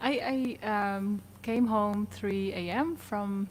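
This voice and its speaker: A woman's somewhat breathy, medium-pitched voice in a Dutch accent, at a very slow pace. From Netherlands. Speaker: singer-songwriter. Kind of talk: casual interview chat.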